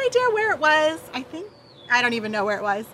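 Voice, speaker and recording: Noticeable background noise is audible throughout. Over it, a woman talks. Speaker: missions trip volunteer. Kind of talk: testimony.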